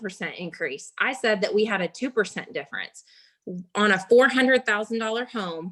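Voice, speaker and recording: With a bright, sharp tone and a fairly high pitch, a woman speaks with ordinary pitch variation on a very clean recording with a silent background. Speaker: real estate agent. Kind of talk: business training call. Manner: fast.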